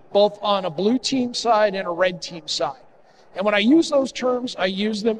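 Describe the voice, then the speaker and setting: A man's high voice with ordinary pitch variation, against light background noise. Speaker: conference presenter. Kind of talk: conference talk. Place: hall.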